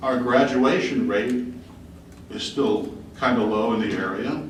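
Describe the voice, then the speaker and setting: A man at medium pitch speaks fairly slowly with lively intonation, amid audible room echo and noticeable background noise. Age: 60s. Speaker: resident speaking at public hearing. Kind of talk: public hearing comment.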